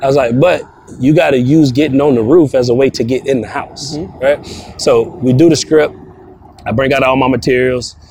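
A man at medium pitch, fairly quick pace and fairly even intonation, over noticeable background noise. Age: 30s. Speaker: roofing sales trainer. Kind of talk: interview. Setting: outdoors.

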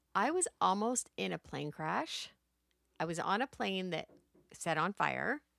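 A woman speaking fairly slowly, the sound dry and close with no echo, on a very clean recording with a silent background. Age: 50s. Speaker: podcast host. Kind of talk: interview. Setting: on location in a boutique.

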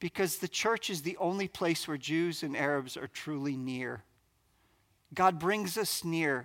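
A man speaks in an ordinary speaking voice with an American accent, at a moderate pace and with ordinary pitch variation, on a very clean recording with a silent background. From US Northeast, New Jersey. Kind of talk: conference talk.

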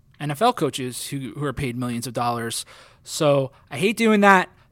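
On a very clean recording with a silent background, a man with an American accent and an unremarkable speaking voice speaks at a moderate pace, his pitch fairly high. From New Jersey. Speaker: sports journalist and podcast co-host. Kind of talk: casual sports podcast chat.

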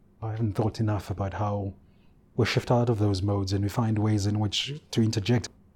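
A man's fairly low, somewhat breathy voice with a dark, mellow tone and fairly even intonation. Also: very clean recording, silent background. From South Africa, KwaZulu-Natal (Ulundi). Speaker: research institute director, academic. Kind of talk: interview.

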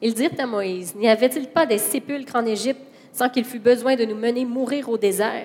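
Noticeable background noise sits under a woman's high voice. She speaks at a moderate pace with ordinary pitch variation. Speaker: interpreter. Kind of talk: consecutive interpreting of a sermon. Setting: church with congregation. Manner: animated, fervent, preacher-like delivery, rising and emphatic when echoing the sermon.

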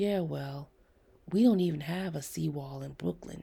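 In a put-on character voice, the speaker goes at a fairly slow pace, with a dark, mellow tone, vocal fry and a slightly husky edge. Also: woman, low pitch for a woman, ordinary pitch variation.

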